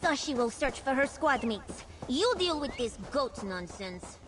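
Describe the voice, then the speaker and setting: A female-sounding, high-pitched put-on character voice over clear background noise. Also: moderate pace. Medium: video game. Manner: speaks of herself in the third person.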